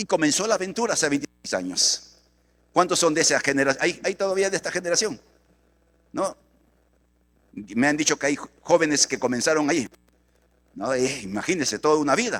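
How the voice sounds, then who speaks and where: A man's fairly high voice with vocal fry and lively intonation, fairly quick yet broken by long, frequent pauses, in a dry, close sound with no echo. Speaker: pastor. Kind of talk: sermon. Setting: church.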